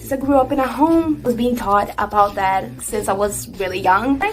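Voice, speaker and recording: A Brazilian accent at a moderate pace, with ordinary pitch variation. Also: woman. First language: Portuguese. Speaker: singer, singing teacher and beatboxer. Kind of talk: tutorial. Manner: casual, chatty.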